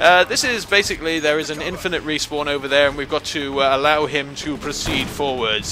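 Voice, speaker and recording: Very fast speech from a man, backed by music. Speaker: let's play commentator. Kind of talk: casual gameplay commentary. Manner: sarcastic, joking.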